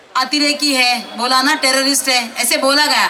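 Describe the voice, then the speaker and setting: A woman with a Marathi accent speaks in a raised, projected voice with fairly even intonation. Audible room echo and noticeable background noise surround her. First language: Marathi (speaking Hindi). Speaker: election candidate. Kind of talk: political rally speech. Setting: stage with audience. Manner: loud, fiery.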